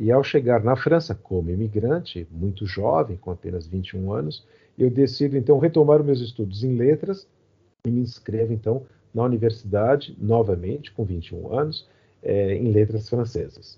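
Speaking at a moderate pace, a man with a medium-pitched, somewhat breathy voice uses lively intonation. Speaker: poet and literature professor. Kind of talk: interview. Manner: halting, many fillers.

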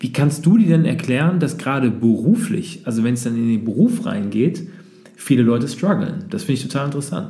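Somewhat breathy and dark, mellow in tone, a man speaks at a fairly quick pace with a fairly high pitch, and audible room echo surrounds him. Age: 30s. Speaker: podcast host, entrepreneur. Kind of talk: interview. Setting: coworking space.

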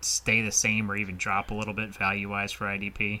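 At a moderate pace, a man speaks in a plain, everyday voice with a fairly low pitch. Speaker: fantasy football podcast host. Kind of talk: casual chat.

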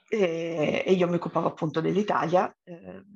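A woman's fairly low voice carries vocal fry and ordinary pitch variation. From Turin, northern Italy. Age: 30s. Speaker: entrepreneur. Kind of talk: podcast interview.

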